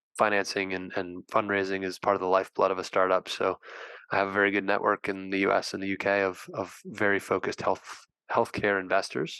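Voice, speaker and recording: A man with an American accent talks at a fairly quick pace in a bright, sharp tone and monotone, flat intonation, with a dry, close sound with no echo and a quiet background. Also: fairly low pitch for a man. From United States. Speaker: healthtech CEO and angel investor. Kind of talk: interview. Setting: live show.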